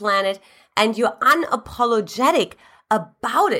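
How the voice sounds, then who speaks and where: A woman's raised, projected voice, animated, bright and sharp in tone, at a fairly slow pace on a very clean recording with a silent background. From Eastern Germany. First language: German. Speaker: relationship coach. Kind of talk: scripted-style video talk, advice. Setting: YouTube video. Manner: animated, motivational.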